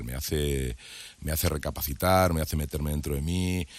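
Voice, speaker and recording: On a very clean recording with a silent background, a man talks at a moderate pace in a very deep, low voice. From Madrid, Spain. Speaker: TV presenter. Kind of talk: casual interview chat.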